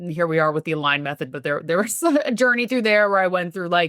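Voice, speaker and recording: A woman with a New York accent talks fairly quickly in a bright, sharp tone, fairly low in pitch and with lively intonation. The recording is very clean, with a silent background and a dry, close sound with no echo. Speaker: health and business coach. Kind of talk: podcast interview.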